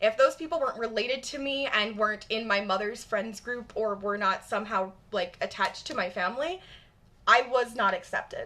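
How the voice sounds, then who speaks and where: A woman talks at a fairly quick pace in a fairly high pitch, with ordinary pitch variation. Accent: Michigan. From US Midwest, Michigan suburbs. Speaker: live streamer. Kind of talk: live stream chat. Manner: casual, animated.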